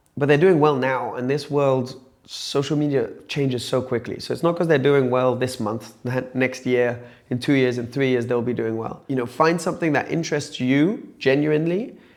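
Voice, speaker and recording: Audible room echo surrounds this recording. The speaker is a man with a medium pitch. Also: fairly even intonation, moderate pace. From France, Nice area. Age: 20s. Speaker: YouTuber. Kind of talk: interview. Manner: casual, conversational.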